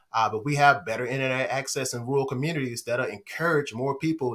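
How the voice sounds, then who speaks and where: A man with an unremarkable speaking voice, fairly high pitch, an American accent, ordinary pitch variation and a fairly quick pace. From North Carolina, Vance County (Henderson). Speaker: state grants manager. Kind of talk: casual interview.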